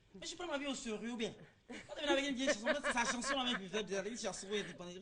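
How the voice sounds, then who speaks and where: A woman at high pitch, very fast pace and lively intonation, with audible room echo. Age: young. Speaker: interviewee on TV show. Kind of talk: TV street interview, casual.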